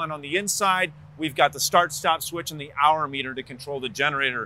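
Bright and sharp in tone, a man speaks at a moderate pace. The sound is dry, with no echo. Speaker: RV dealer salesperson. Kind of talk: product walkthrough presentation. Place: street. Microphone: lapel.

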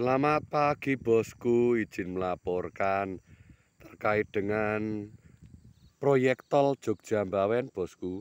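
Very slowly and at fairly low pitch, a man speaks with ordinary pitch variation in a dry, close sound with no echo. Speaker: vlogger reporting on a road construction project. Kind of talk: on-location vlog report. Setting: outdoors at a construction site.

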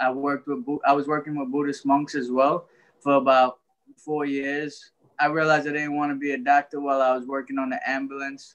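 A man with an American accent speaks at a very fast pace. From Brooklyn, New York (Trinidadian family). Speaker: author and life coach; life coach. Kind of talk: interview. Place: home room. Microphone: video call.

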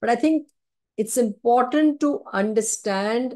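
In an Indian accent, a woman with a dark, mellow tone and lively intonation speaks at a fairly slow pace against a quiet background. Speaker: neurologist and sleep specialist; webinar presenter. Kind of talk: webinar lecture. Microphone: video call.

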